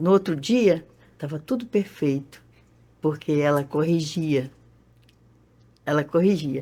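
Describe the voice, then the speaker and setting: Very deep and low in pitch, a woman's dark, mellow voice moves at a very slow pace with lively intonation and long, frequent pauses. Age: 70s. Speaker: congo band member. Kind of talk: interview.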